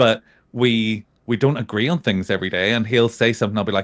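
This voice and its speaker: Fairly quick and fairly even in intonation, a man with a Northern Irish accent talks at a fairly low pitch. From Northern Ireland. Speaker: podcast guest, gaming community member. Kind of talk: casual chat.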